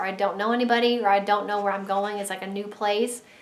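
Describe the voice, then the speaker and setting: A woman is heard with audible room echo. Noticeable background noise is present too. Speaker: stay-at-home mom vlogger. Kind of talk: casual chat to camera. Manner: straining to talk loud. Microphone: built-in camera mic.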